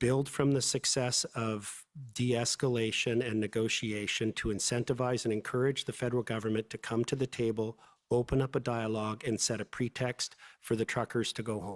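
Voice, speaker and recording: A man with a Canadian accent at a fairly quick pace, medium in pitch, monotone and flat in intonation, in a dry, close sound with no echo. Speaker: lawyer testifying as witness. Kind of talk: inquiry testimony under cross-examination. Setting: public inquiry hearing room. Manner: fast.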